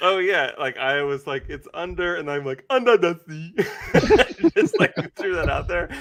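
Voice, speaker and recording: The man speaks at a fairly slow pace with hardly any pauses. Noticeable background noise runs underneath. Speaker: company host presenting products. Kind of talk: casual livestream chat.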